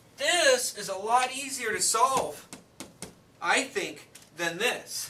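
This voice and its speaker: A man talks in a raised, projected voice at an extremely high pitch, with very wide pitch swings and a very slow pace. Noticeable background noise and audible room echo fill the recording. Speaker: math teacher. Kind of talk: classroom lecture.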